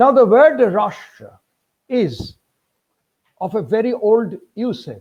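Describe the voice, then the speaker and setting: A dark, mellow tone with a Bengali accent and ordinary pitch variation. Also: man. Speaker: history professor. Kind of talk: lecture. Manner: formal.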